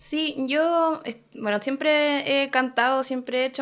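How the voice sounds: In a very clean recording with a silent background, a woman speaks at a high pitch with a fairly bright tone and ordinary pitch variation.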